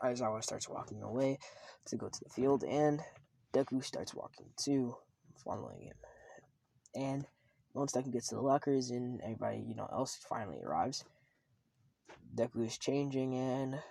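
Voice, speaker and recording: At a moderate pace, a man speaks in a dark, mellow tone with monotone, flat intonation and long, frequent pauses. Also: medium pitch for a man. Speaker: fan fiction narrator. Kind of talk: casual story retelling. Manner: halting, stuttering; filler-heavy.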